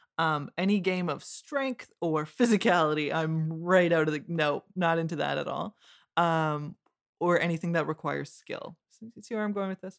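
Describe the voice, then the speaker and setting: Speaking with a Canadian accent, a woman uses an unremarkable speaking voice at a fairly low pitch with ordinary pitch variation and a moderate pace, in a dry, close sound with no echo. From Windsor, Ontario, Canada. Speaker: podcast producer.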